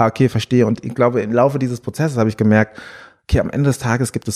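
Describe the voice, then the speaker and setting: A man at medium pitch with a dark, mellow tone, a very fast pace and a dry, close sound with no echo. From Frankfurt, Germany. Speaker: musician. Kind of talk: interview. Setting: office. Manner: animated.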